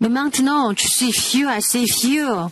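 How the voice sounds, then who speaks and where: A woman speaks over noticeable background noise. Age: 80s+. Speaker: preacher. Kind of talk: sermon. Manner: halting, many hesitations.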